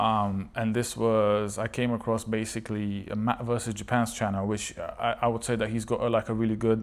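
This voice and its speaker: Talking at a fairly quick pace, a man keeps his intonation monotone and flat, with hardly any pauses. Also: medium pitch for a man. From Bulgaria, moved to UK as a child. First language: Bulgarian. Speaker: language learning vlogger. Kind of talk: casual vlog monologue. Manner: halting, many fillers and repetitions.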